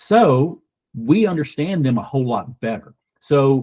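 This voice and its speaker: A man speaks at medium pitch with a Southern US accent. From US South, rural Kentucky. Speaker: donor-advised fund representative, military veteran. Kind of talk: podcast interview.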